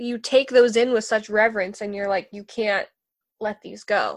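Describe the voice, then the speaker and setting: On a very clean recording with a silent background, a woman speaks at a fairly high pitch and a moderate pace. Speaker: podcast host. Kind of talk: casual chat. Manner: animated.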